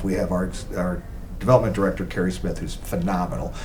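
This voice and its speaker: Audible room echo and noticeable background noise are both present in the recording. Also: man. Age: 70s. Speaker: lawyer and charity board member. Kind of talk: casual interview.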